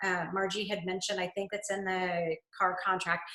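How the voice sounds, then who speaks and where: A woman with a plain, everyday voice at a moderate pace. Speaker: real estate trainer. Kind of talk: webinar presentation.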